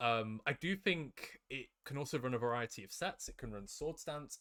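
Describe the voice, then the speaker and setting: A man with a British accent and a fairly high pitch. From UK. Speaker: competitive Pokemon player. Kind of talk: casual discussion.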